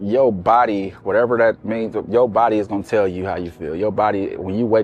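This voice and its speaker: This man has a fairly low pitch. He speaks with fairly even intonation. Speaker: comedian and show founder. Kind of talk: interview.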